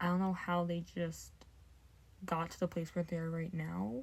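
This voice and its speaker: Somewhat breathy and fairly low-pitched, the woman speaks with fairly even intonation. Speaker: book vlogger. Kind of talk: casual vlog. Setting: at home. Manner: rambling, filler-heavy; speaking quietly.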